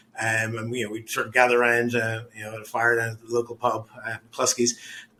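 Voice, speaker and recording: The man's pitch is medium, and his speaking speed is moderate. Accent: Irish. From Ireland. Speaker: real estate development executive. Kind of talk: podcast interview.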